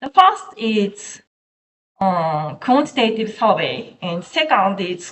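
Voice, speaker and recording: With a Japanese accent, a woman talks at a very slow pace, her fairly high voice carrying lively intonation. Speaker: researcher. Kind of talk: academic presentation. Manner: halting.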